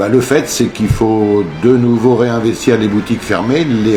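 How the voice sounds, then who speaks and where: A man at a medium pitch and fairly slow pace, audible room echo and noticeable background noise around him. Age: 60s. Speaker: shopkeeper, coffee roaster. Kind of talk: interview. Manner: halting, many hesitations.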